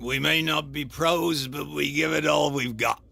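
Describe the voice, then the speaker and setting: Over light background noise, a man does a raspy, put-on character voice at a fairly high pitch and a moderate pace. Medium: video game. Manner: guarded, evasive.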